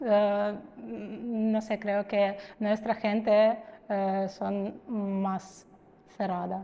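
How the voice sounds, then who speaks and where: A very slow, monotone delivery in a Ukrainian accent, with a dark, mellow tone and flat intonation. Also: woman, medium pitch for a woman. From Ukraine, Kharkiv. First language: Ukrainian (speaking Spanish). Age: 30s. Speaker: immigrant interviewee. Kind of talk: interview. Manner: halting, many fillers.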